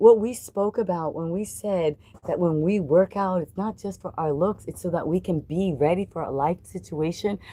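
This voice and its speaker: A woman speaks with a dark, mellow tone at a moderate pace. Her pitch varies in an ordinary way. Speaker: livestreamer and animal rescuer. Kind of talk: casual live stream chat. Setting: live stream. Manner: animated.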